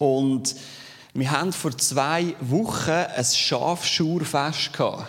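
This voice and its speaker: A man in a Zurich accent, very slow and fairly high in pitch, with ordinary pitch variation and audible room echo. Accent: Swiss German (Zürich). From Switzerland, Zürich Unterland. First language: Swiss German (speaking German). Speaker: lay preacher. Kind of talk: sermon.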